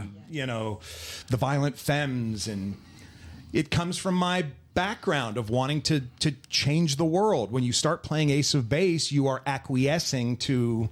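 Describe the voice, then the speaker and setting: Here is a man with an American accent and an unremarkable speaking voice. He talks fairly slowly at a fairly high pitch, with lively intonation. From New Jersey. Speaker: radio DJ and stadium PA announcer. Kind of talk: interview answer.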